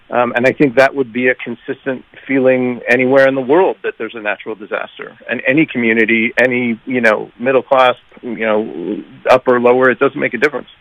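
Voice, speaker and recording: At a fairly quick pace, this is an ordinary speaking voice. The intonation stays fairly even. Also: man, medium pitch for a man. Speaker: music producer. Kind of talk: casual interview.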